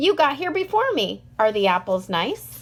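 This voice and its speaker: Using a put-on character voice, a woman speaks high-pitched at a moderate pace with very wide pitch swings. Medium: read story.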